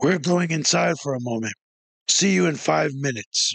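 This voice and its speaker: A man's put-on character voice, growling and raspy, at a medium pitch. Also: moderate pace. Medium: read story.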